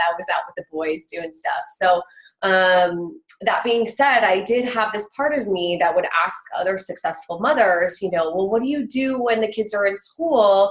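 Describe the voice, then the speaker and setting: Speaking in an American accent at a fairly slow pace, a woman has a normal speaking voice with lively intonation. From Southern California. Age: 30s. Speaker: entrepreneur mother. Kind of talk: interview.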